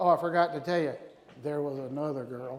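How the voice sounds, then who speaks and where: An animated man talks in a room with audible echo. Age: 60s. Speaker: navy veteran, conference speaker. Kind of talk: motivational talk. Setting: stage with audience.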